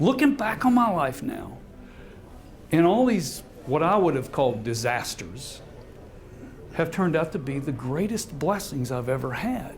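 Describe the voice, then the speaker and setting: With music in the background, a man speaks at a moderate pace and fairly high pitch, his pitch swinging very widely between long, frequent pauses. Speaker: motivational speaker and author. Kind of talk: live speech to an audience.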